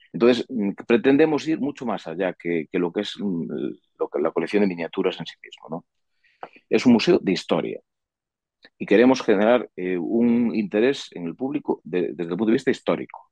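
At a moderate pace, a man speaks with big swings in loudness in a dry, close sound with no echo. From Galicia, Sarria (Lugo). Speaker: industrial engineer and museum promoter. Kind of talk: interview. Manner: halting, many fillers.

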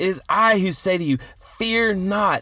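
A man speaks in a raised, projected voice with high pitch and ordinary pitch variation. His tone is bright and sharp, yet also warm. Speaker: podcast host and ministry leader. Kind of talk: fervent prayer, intercessory, earnest. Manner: earnest, pleading, halting with repeated phrases; warm, devotional.

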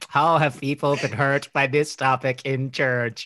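A man puts on a robotic character voice at medium pitch. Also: moderate pace.

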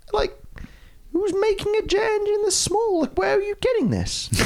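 A man puts on a squeaky character voice at extremely high pitch, going at a moderate pace. Light background noise sits underneath. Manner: incredulous, confused.

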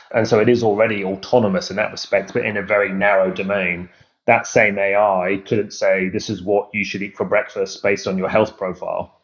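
This man has an English accent and a fairly low pitch. He talks at a fairly quick pace with fairly even intonation. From UK. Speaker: AI company founder. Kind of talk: interview.

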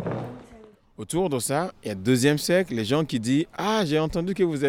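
Here a man talks at a fairly slow pace. His pitch is fairly high and his intonation lively. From Nigeria. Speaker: choreographer. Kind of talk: interview.

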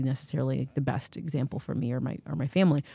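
A woman with an American accent speaks at a very fast pace. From United States. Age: 40s. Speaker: podcast co-host. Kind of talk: casual chat.

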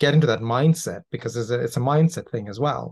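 This man's voice is somewhat breathy. He speaks fairly quickly, and his intonation is lively. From Toronto, Canada. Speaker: podcast host. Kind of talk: interview.

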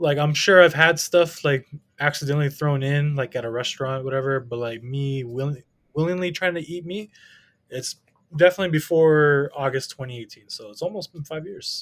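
Talking at a fairly quick pace, a man has an unremarkable speaking voice with fairly high pitch. His pitch varies an ordinary amount. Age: 30s. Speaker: teacher and card collector. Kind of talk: casual chat.

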